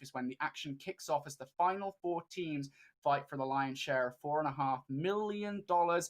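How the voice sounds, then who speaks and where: The tone is animated, with lively intonation and a British accent. The pace is moderate. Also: man. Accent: British, noted by himself. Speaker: esports caster. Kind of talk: live commentary.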